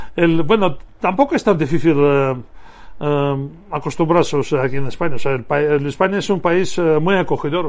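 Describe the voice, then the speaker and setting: Here a man speaks at a high pitch with lively intonation. His pace is moderate. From Russia (Moscow, Soviet Union). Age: 50s. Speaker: former basketball player. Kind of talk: interview. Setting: radio studio. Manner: halting.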